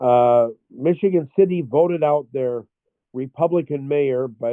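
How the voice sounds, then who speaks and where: Pitch varies in an ordinary way as a man talks at a fairly slow pace. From US Midwest, Chicago. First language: French and German. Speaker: former political candidate. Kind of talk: casual interview. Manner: halting, many fillers.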